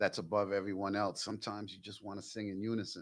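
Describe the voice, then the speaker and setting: The recording is very clean with a silent background, carrying a man's fairly low-pitched voice. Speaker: podcast co-host. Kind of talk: casual chat. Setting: in person.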